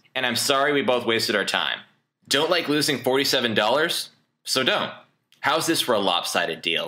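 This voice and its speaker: Bright and sharp in tone, a man with a Canadian accent speaks with lively intonation and vocal fry. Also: medium pitch for a man, moderate pace. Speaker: online marketer. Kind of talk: sales pitch. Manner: animated.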